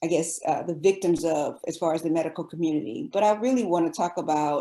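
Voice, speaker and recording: The voice has a dark, mellow tone, a moderate pace and ordinary pitch variation, captured in a very clean recording with a silent background. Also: woman. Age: 50s. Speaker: physician. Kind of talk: podcast interview. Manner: hesitant, many fillers.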